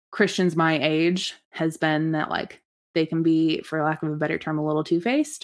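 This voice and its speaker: Recorded very cleanly against a silent background, the speech moves at a moderate pace. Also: woman. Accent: Midwestern American. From US Midwest, Lincoln, Nebraska. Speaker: church community worker. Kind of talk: casual interview.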